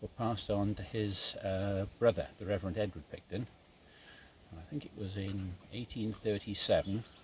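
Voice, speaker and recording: This man speaks at a moderate pace in a fairly low, somewhat breathy voice, with fairly even intonation and big swings in loudness. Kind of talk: casual storytelling outdoors. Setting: outdoors.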